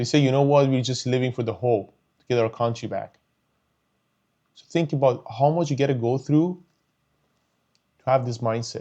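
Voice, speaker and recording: Using a Persian accent, a man with a medium pitch and a dark, mellow tone speaks at a moderate pace with big swings in loudness and long, frequent pauses. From Iran. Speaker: YouTuber, commentator. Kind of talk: personal commentary monologue. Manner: emotional, animated; halting, repeating words.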